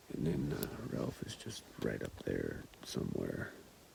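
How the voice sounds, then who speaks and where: Whispered words come very slowly, with clear background noise behind them. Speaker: hunter. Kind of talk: vlog narration while hunting. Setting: outdoors on a mountain ridge. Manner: soft-spoken.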